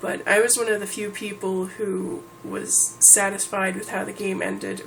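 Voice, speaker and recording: Background noise can clearly be heard. Over it, a woman talks at an even, medium speed. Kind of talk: casual talk to camera.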